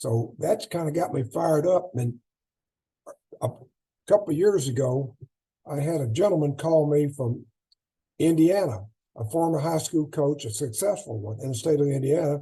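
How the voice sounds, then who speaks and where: A man with a fairly high pitch and a dark, mellow tone sounds somewhat breathy, leaving long, frequent pauses. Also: moderate pace. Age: 80s+. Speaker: track and field coach. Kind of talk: clinic talk. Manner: halting.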